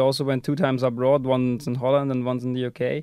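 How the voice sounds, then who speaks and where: With a German accent, a man speaks at a fairly quick pace. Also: quiet background. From Austria. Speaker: university student. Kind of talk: interview. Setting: studio. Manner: halting.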